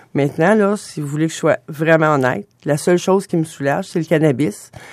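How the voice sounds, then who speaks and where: This voice moves at a moderate pace in a very clean recording with a silent background. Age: 50s. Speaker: patient advocate with restless legs syndrome. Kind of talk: radio interview. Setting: studio.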